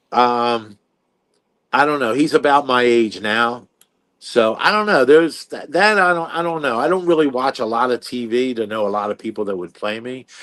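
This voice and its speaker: In an American accent, a man speaks at a moderate pace with lively intonation and medium pitch against a quiet background. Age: 60s. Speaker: competitive eater and author. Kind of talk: interview. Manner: halting, many fillers.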